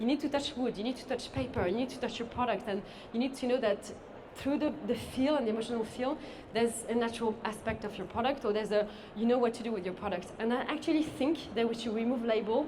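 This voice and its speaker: A woman at a very fast pace, with ordinary pitch variation and audible room echo. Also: fairly high pitch for a woman. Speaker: sustainable beauty consultant. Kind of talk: conference talk.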